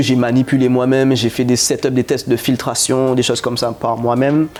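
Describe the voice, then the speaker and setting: Over noticeable background noise, a man at a medium pitch talks fairly quickly with hardly any pauses, his intonation monotone and flat and his loudness very even. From Guadeloupe (Capesterre). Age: 30s. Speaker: chemist and company founder. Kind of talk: interview. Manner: halting.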